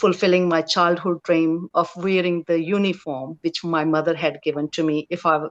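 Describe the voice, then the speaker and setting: With a non-native accent, the speech stays monotone, its intonation flat. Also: woman. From India. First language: not English. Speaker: police officer. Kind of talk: career story on a Q&A panel. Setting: live stream panel. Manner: halting, many fillers.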